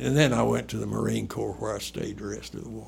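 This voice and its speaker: The speaker has a North Carolina accent. Room echo is audible. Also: man. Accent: Southern US (North Carolina). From US South, southeastern North Carolina. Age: 80s+. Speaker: retired urologist. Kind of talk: oral history interview.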